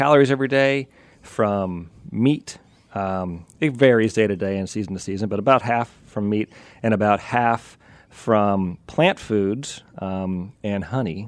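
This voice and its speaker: Talking at a fairly slow pace with an American accent, a man has a fairly low pitch, ordinary pitch variation and an ordinary speaking voice. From US, western Pennsylvania. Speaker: evolutionary anthropologist, professor. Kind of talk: radio interview.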